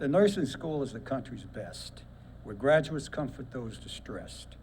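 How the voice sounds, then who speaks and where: Audible room echo around a man's dark, mellow, fairly high-pitched voice with vocal fry and lively intonation, at a moderate pace, in a Brooklyn accent. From Brooklyn, New York. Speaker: war veteran and poet. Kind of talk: reading aloud a poem. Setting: ceremony with audience.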